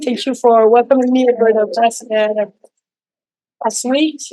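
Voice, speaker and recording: In a Quebec accent, a woman talks at a moderate pace with a high pitch. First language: French. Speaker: physician. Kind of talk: lecture. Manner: halting, many fillers.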